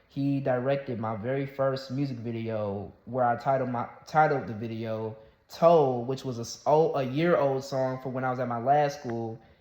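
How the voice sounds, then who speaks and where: Against noticeable background noise and audible room echo, a man speaks at a medium pitch with fairly even intonation. His pace is moderate, with hardly any pauses. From US South. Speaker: YouTuber and rapper. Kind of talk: casual vlog monologue. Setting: solo talking to camera. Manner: halting, many fillers and restarts.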